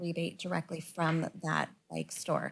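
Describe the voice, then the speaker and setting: Somewhat breathy female voice, moderately paced. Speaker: city council member. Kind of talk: council meeting discussion. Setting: council chamber meeting. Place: meeting room. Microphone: podium.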